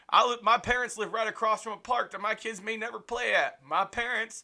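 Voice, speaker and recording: A man speaks in a raised, projected voice at a moderate pace. His tone is bright and sharp. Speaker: small media business owner and amateur filmmaker. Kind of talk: casual vlog monologue.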